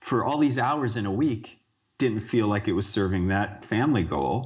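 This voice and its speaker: An American man talks at a moderate pace with ordinary pitch variation, and some room echo is audible. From United States. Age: 40s. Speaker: fitness coach and author. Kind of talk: interview.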